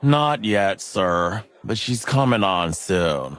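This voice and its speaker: A man uses a put-on character voice pitched fairly low. He delivers it at a very slow pace. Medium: video game.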